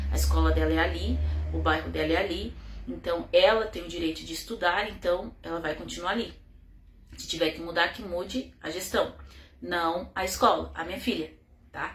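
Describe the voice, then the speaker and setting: With audible room echo, a woman talks at a moderate pace, taking long, frequent pauses, her loudness swinging widely. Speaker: mother telling her child's case. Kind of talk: personal testimony.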